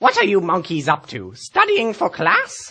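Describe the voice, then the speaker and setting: Using a put-on character voice, a man speaks at a moderate pace in a raised, projected voice with a high pitch. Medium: stage play.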